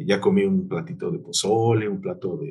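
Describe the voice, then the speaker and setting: A man's fairly high-pitched voice at a moderate pace, with very wide pitch swings. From Mexico City, Iztapalapa. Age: 40s. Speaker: general surgeon. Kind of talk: interview.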